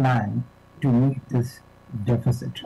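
The voice has a dark, mellow tone and ordinary pitch variation. It moves at a fairly slow pace. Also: man. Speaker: panel moderator. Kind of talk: conference introduction questions. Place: office. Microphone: video call.

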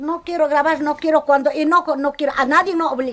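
A woman's high voice, fast pace and fairly even intonation.

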